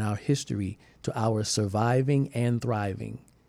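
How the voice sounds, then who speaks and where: With a plain, everyday voice, a man talks in a middle register, his pitch shifting in a usual way. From US South (Georgetown, South Carolina). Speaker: podcast host and author. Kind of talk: interview conversation; scripted outro.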